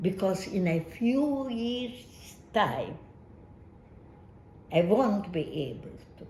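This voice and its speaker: A woman's somewhat breathy, medium-pitched voice with a Hungarian accent, very wide pitch swings, a very slow pace and audible room echo. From Hungary. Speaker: Holocaust survivor. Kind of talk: testimony.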